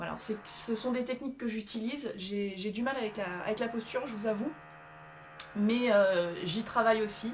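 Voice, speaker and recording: A fairly high-pitched woman with ordinary pitch variation and noticeable background noise. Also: moderate pace. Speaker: self-help coach. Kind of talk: tutorial. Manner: hesitant, many fillers.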